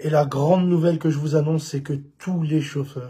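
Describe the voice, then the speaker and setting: A somewhat breathy voice with a dark, mellow tone speaks at a moderate pace. The intonation is monotone and flat, and the recording is very clean with a silent background. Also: man. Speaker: rideshare drivers' union representative. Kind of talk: live video message. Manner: halting, many fillers.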